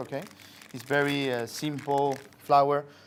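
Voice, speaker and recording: A man with a Spanish accent talks in a fairly high pitch. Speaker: chef. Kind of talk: cooking demonstration. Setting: studio, live stream.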